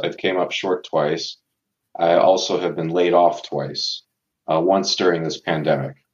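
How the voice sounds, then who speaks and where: At a fairly slow pace, a man talks in a very deep, low pitch with fairly even intonation. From Tucson, Arizona, US Southwest. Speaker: law graduate, former college football player. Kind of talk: interview.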